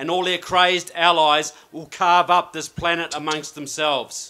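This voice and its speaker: Using a New Zealand accent, a man speaks at a moderate pace and a high pitch, his tone bright and sharp and his intonation flat and monotone. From New Zealand, Christchurch. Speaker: political researcher and author. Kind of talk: speech.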